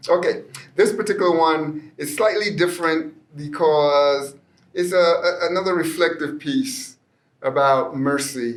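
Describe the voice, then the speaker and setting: Fairly slow speech from a man with a high pitch and ordinary pitch variation. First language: Spanish. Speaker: poet. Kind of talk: poetry reading with commentary. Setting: library.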